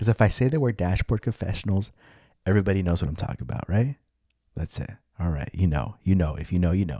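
With lively intonation, a man talks at a very fast pace. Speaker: podcast host and musician. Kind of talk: solo monologue update. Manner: casual, rambling with fillers.

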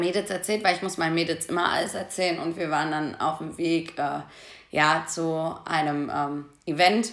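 A woman speaks with a fairly low pitch. Audible room echo surrounds her voice. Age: 20s. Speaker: podcast host. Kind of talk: casual chat.

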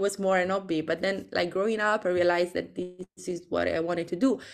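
A woman with an Italian accent. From Italy. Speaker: singer-songwriter. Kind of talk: interview. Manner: halting.

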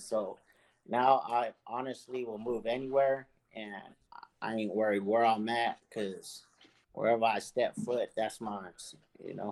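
A man speaks at a fairly slow pace with a fairly low pitch. His tone is slightly mellow and his intonation fairly even.

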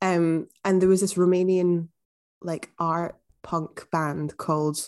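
Recorded very cleanly against a silent background, a woman speaks at a medium pitch in a Glaswegian accent. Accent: Glaswegian Scottish. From Scotland, Glasgow. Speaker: music journalist. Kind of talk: interview conversation.

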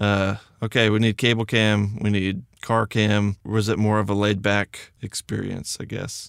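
On a very clean recording with a silent background, a man with a Texas accent speaks in a fairly low pitch and monotone, flat intonation. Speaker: podcast host. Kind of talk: interview conversation.

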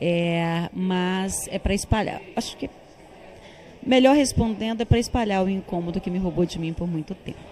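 This is a woman with a normal speaking voice at medium pitch. She talks at a moderate pace with ordinary pitch variation. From Tocantins, Brazil (sertão). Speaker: film director. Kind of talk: interview. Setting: film festival.

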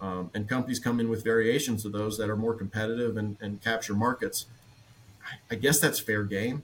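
A man with medium pitch and fairly even intonation has an ordinary speaking voice. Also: fairly quick pace. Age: 20s. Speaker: fitness equipment company representative. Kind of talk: roundtable discussion.

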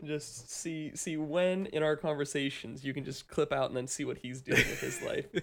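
A man with an unremarkable speaking voice talks at a moderate pace, fairly high in pitch with fairly even intonation. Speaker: podcast co-host. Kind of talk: casual banter podcast.

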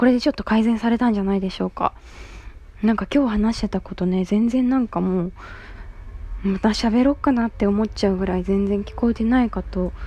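A woman talks at a fairly quick pace in a fairly high, somewhat breathy voice with a dark, mellow tone and ordinary pitch variation. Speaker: solo podcaster. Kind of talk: casual monologue.

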